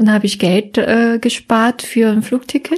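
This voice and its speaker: A woman with a Korean accent and a fairly high pitch, on a very clean recording with a silent background. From South Korea, Seoul. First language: Korean (speaking German). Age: 30s. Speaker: psychologist. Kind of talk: casual interview. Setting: her office.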